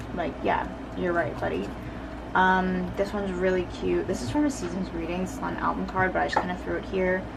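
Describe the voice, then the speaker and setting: A woman talks fairly quickly, her voice carrying audible room echo over noticeable background noise. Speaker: K-pop photocard collector vlogger. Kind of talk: casual collection flip-through. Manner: fast; animated.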